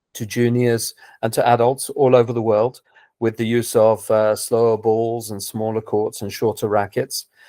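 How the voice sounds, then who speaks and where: A man with a southern English accent speaks at a moderate pace and medium pitch, his dark, mellow tone monotone and flat, on a very clean recording with a silent background. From England, London. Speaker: tennis coach. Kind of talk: interview. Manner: hesitant, repeats words.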